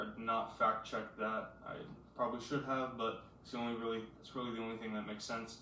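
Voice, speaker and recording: A man talks at medium pitch and a fairly quick pace, his intonation monotone and flat. Audible room echo and noticeable background noise come through. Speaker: high school basketball commentator. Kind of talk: casual solo analysis. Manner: fast; halting, many fillers.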